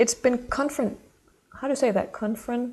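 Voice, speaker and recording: A woman speaks with a Danish accent. Her pitch is high. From Denmark. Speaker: intuitive mentor. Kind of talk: channeled horoscope monologue. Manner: halting.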